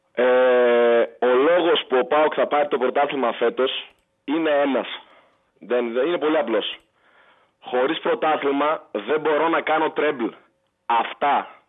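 With long, frequent pauses, a man speaks at a fairly slow pace, his fairly high voice showing ordinary pitch variation and very even loudness. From Heraklion, Crete, Greece. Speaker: caller. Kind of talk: call-in football discussion. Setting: phone call. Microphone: poor phone line.

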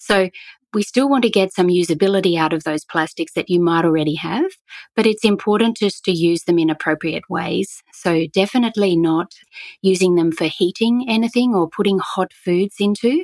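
Here a woman with an Australian accent speaks at medium pitch and a moderate pace. The sound is dry and close with no echo, and her loudness stays very even. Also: ordinary pitch variation. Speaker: eco store founder. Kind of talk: interview.

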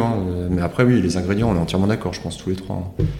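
The speech shows ordinary pitch variation, with noticeable background noise and audible room echo. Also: man. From Alsace. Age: 30s. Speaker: winemaker. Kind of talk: casual chat.

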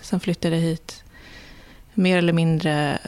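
A woman speaks at a moderate pace with fairly even intonation. Vocal fry runs through her voice. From Sweden. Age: 40s. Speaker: illustrator. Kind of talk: interview. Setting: her studio.

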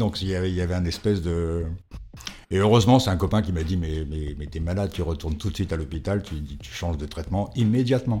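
A man's very deep, low voice, dark and mellow in tone, with ordinary pitch variation. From France, Paris and provinces. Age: 50s. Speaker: interviewee. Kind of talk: testimony.

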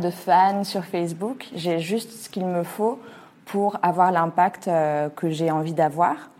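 A woman speaks very slowly in a fairly low voice with a dark, mellow tone. Her intonation stays fairly even. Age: 30s. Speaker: entrepreneur and business coach. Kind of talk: personal testimony. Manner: hesitant, many fillers.

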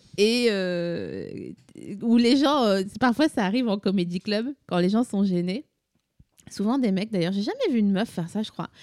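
At a fairly slow pace, a woman with a medium pitch uses an ordinary speaking voice with ordinary pitch variation. The sound is dry and close, with no echo. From Vosges, eastern France. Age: 30s. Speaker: podcaster and comedy creator. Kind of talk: casual chat.

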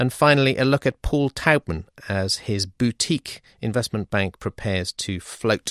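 Lively intonation marks this British accent, delivered at a moderate pace with hardly any pauses, in a dry, close sound with no echo and a very clean recording with a silent background. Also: man, medium pitch for a man. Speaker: podcast host, financial journalist. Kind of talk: hosted panel discussion. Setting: studio.

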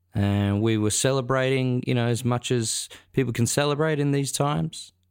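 This man has an unremarkable speaking voice, using fairly even intonation at a moderate pace. The recording is very clean, with a silent background. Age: 30s. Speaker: podcast host and musician. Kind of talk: casual chat. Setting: home bar room.

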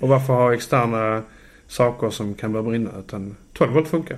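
A man's ordinary speaking voice at medium pitch, moderate pace, quiet background. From southern Sweden (Landskrona, Skåne). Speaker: electrician. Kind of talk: casual chat. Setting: home kitchen.

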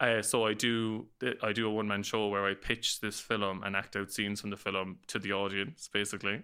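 Here a man speaks in a Cork accent at a fairly quick pace. His pitch is fairly low and his tone bright and sharp. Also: very clean recording, silent background. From Ireland, north side of Cork city. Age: 30s. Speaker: podcaster and professional dancer. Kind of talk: casual interview chat. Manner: animated.

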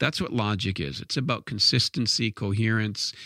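This man talks at a fairly quick pace in a medium pitch with a plain, everyday voice. The recording is very clean with a silent background, and the sound is dry and close with no echo. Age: 50s. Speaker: educator on classical education. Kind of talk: lecture.

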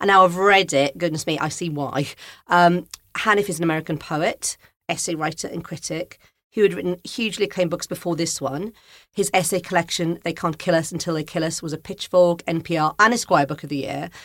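In a Welsh accent, a woman talks at a fairly quick pace with fairly low pitch and fairly even intonation on a very clean recording with a silent background. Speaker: podcast host and music journalist. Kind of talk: casual interview chat. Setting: studio.

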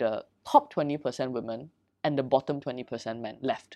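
A woman talking at a fairly quick pace over a quiet background. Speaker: dating company founder. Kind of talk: casual interview.

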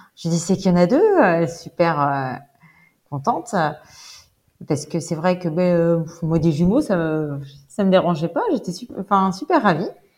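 A woman's fairly low voice, fairly slow, with ordinary pitch variation and long, frequent pauses. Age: 30s. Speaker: bereaved mother retraining as pastry chef. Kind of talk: interview testimony. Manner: hesitant, many fillers.

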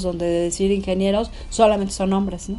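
A woman speaks in a monotone, flat intonation at a fairly quick pace, with music in the background and audible room echo. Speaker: businesswoman. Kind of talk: interview.

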